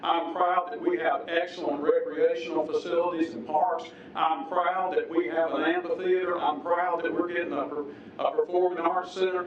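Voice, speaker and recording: A man with an upstate South Carolina accent, high pitch and fairly even intonation at a moderate pace, with audible room echo and noticeable background noise. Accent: Southern US (upstate South Carolina). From US South. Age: 60s. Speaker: public commenter at council meeting. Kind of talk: public comment at city council hearing. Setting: city council chamber. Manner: formal.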